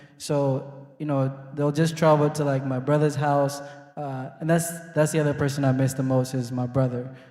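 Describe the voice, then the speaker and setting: Against noticeable background noise, a man speaks in a fairly high, monotone voice with flat intonation at a moderate pace. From Kenya. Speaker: immigrant guest. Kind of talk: casual interview. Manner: halting, many fillers.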